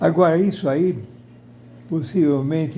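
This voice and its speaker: A man's voice carries audible room echo. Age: 80s+. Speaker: video blogger. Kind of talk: personal opinion monologue. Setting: at home in front of television. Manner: halting.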